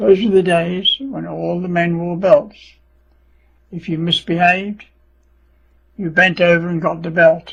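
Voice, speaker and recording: In an English accent, a man with a high pitch talks at a fairly slow pace with fairly even intonation, long, frequent pauses and big swings in loudness. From England. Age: 80s+. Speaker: World War Two veteran. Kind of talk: personal life story narration.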